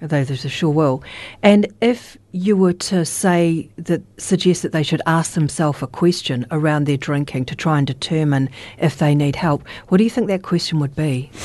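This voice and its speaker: Speaking in a New Zealand accent, a woman has a very deep, low pitch and a dark, mellow tone. She keeps a moderate pace with ordinary pitch variation against a quiet background. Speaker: radio host. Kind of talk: radio interview. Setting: radio studio.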